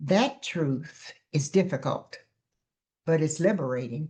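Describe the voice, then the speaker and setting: Her voice somewhat breathy, a woman speaks with very wide pitch swings. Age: 80s+. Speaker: counselor and preacher. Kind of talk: heartfelt reflective talk.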